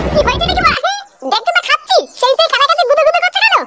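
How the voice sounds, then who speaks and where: A squeaky, cartoonish character voice at an extremely high pitch and a very fast pace. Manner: rude, slangy.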